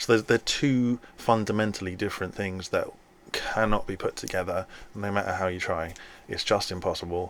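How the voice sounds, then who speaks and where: Using fairly even intonation, a man with a fairly low pitch speaks at a moderate pace. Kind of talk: solo video lecture. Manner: halting.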